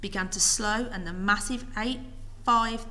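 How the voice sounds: The text is read aloud. The reading voice is natural.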